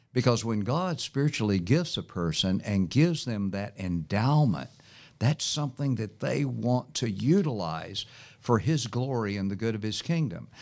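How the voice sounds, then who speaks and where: A man in an American accent speaks at a moderate pace and medium pitch with very wide pitch swings. The recording is very clean, with a silent background. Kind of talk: interview. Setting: studio.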